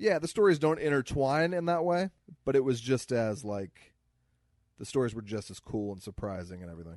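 A man with an American accent at a fairly quick pace, medium pitch, very wide pitch swings and big swings in loudness, over a quiet background. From US Midwest. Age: 30s. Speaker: comedian podcast co-host. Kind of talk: casual chat.

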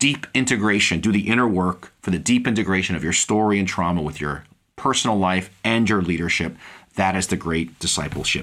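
A man talks at a fairly quick pace in an ordinary speaking voice, fairly low in pitch with ordinary pitch variation. The recording is very clean, with a silent background. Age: 60s. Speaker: pastor and podcast host. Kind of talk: solo podcast teaching monologue. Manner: frequent fillers and repetitions.

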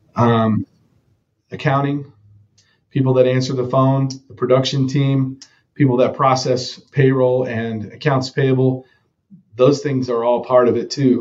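A man with a Texan accent talks at a moderate pace and medium pitch, his intonation fairly even. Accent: Texan American. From Texas, Dallas-Fort Worth area. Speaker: roofing company co-founder. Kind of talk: interview conversation.

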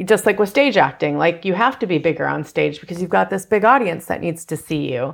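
On a very clean recording with a silent background, a woman talks at a fairly quick pace, fairly low in pitch, with vocal fry and lively intonation. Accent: American. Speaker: casting director. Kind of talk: casual chat.

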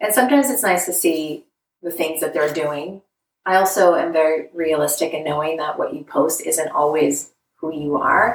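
A woman speaks in an unremarkable speaking voice, fairly low in pitch. Her pace is moderate and her pitch variation ordinary. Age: 40s. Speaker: relationship coach. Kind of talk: casual chat.

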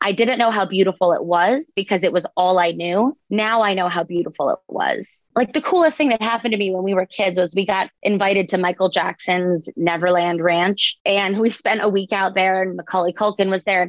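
A plain, everyday voice: a woman with an American accent, medium pitch and ordinary pitch variation, fairly quick with hardly any pauses and very even loudness. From US South. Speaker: author. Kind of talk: interview.

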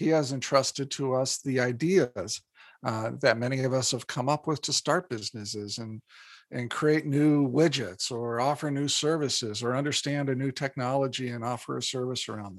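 An ordinary speaking voice in an American accent, at a moderate pace, with ordinary pitch variation and big swings in loudness. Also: man, medium pitch for a man. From Indiana, US Midwest. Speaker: psychologist and business author. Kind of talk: interview.

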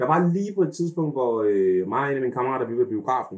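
This man's voice sits at a fairly high pitch. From Denmark. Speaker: YouTube personality and childcare worker. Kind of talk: casual interview. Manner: halting, many fillers.

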